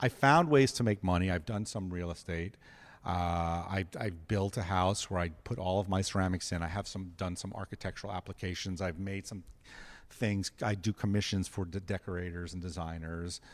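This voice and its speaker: A man with an American accent and a very deep, low pitch talks at a moderate pace with fairly even intonation, recorded very cleanly over a silent background. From New York City. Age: 50s. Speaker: ceramic artist. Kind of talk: casual interview chat. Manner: halting, many restarts.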